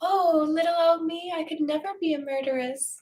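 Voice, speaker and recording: A put-on character voice from a female speaker, extremely high-pitched, at a moderate pace. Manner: sweet, innocent, put-on.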